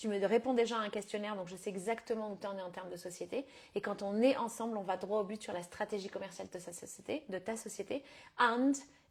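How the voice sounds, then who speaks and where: A woman speaks at a medium pitch and a fairly quick pace with fairly even intonation. Her loudness swings widely. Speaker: business coach. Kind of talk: live stream coaching talk. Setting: live stream. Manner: fast; casual with English code-switching.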